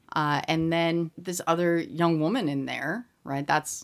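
In a General American accent and a normal speaking voice, a woman talks at a fairly slow pace and fairly low pitch with ordinary pitch variation, on a very clean recording with a silent background. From US, Colorado Springs, Colorado. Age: middle-aged. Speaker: university professor. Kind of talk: casual chat.

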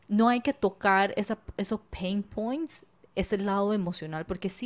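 On a very clean recording with a silent background, a woman speaks at a moderate pace in an ordinary speaking voice at a medium pitch. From Panama. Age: 20s. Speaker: business coach and podcaster. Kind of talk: casual interview chat.

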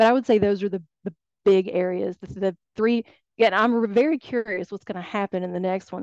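A normal speaking voice moves at a fairly quick pace with ordinary pitch variation, recorded with a dry, close sound with no echo. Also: woman. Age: 40s. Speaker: guest, former interior designer turned plant healer. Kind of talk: casual interview chat. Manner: laughs often.

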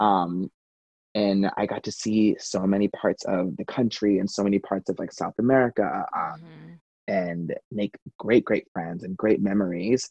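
At a moderate pace and fairly low pitch, a man talks with fairly even intonation in a dry, close sound with no echo. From Long Island, New York; teens in Charlotte, North Carolina. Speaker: Broadway performer. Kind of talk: interview. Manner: hesitant, many fillers.

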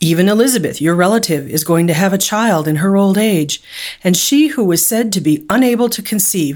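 In a plain, everyday voice, a woman of medium pitch talks at a moderate pace with lively intonation, on a very clean recording with a silent background. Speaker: Bible study leader reading scripture. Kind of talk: scripture reading, then a short meditation and prayer. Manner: measured, reverent reading.

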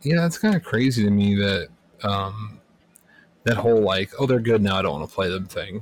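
Speaking at a fairly quick pace, a man with an unremarkable speaking voice and a fairly low pitch shows ordinary pitch variation. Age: 30s. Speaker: podcast co-host. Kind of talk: casual chat.

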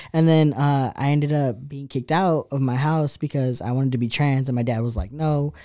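Speaking at a fairly quick pace with hardly any pauses, a man uses a dark, mellow tone, a fairly high pitch and fairly even intonation. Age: 20s. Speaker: artist and activist. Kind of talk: casual chat.

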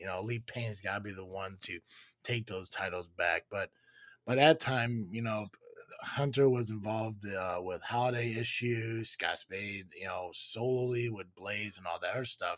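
A man with a normal speaking voice talks at a moderate pace, his fairly low pitch showing ordinary pitch variation. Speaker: podcast host. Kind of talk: casual live-stream chat with callers. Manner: sarcastic, blunt, jokey.

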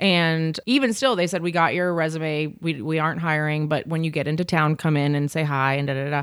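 In a very clean recording with a silent background, a woman with an American accent speaks at a fairly quick pace with hardly any pauses, her very deep, low pitch showing ordinary variation. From US South, Jackson, Mississippi. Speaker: pastry chef. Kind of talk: casual interview chat. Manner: animated.

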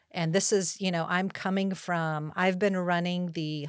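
On a very clean recording with a silent background, a woman with a Californian accent speaks at a moderate pace and a fairly low pitch. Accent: Californian American. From Southern California, Los Angeles County. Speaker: school principal. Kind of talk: interview.

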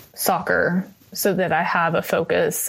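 A woman speaks in a flat monotone. Her voice is somewhat breathy. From East Texas. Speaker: youth triathlon coach. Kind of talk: casual interview.

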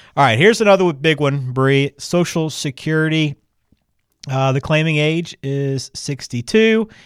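A man with a plain, everyday voice speaks at a moderate pace, his pitch fairly high and its variation ordinary. The sound is dry and close with no echo, a very clean recording with a silent background. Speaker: podcast host. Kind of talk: casual interview chat.

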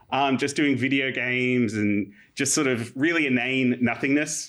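A man talks at a fairly slow pace with an Australian accent. His pitch sits in the medium range. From Australia, Illawarra. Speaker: historian. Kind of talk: casual chat.

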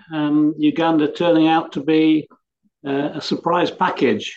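A man speaks with an English accent. His pitch is fairly high. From England. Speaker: cricket columnist. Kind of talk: panel discussion. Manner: halting.

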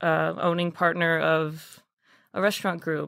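Speech comes at a fairly slow pace in a monotone, flat intonation. The recording is very clean, with a silent background. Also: woman. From Texas, Dallas. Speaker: restaurant maitre d'. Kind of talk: interview.

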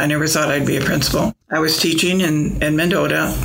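A fairly quick American accent over noticeable background noise. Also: woman. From US Midwest, Springfield, Illinois. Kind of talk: interview. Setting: convent.

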